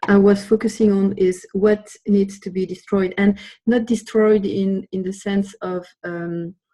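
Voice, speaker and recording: Very slowly and in a flat monotone, a woman with a French accent speaks at a medium pitch in a somewhat breathy voice. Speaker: webinar participant. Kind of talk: group discussion. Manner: hesitant.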